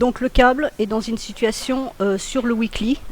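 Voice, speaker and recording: At a moderate pace, a woman talks in a fairly high-pitched voice. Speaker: trading analyst. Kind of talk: webinar tutorial. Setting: online webinar. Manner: hesitant, many filler sounds.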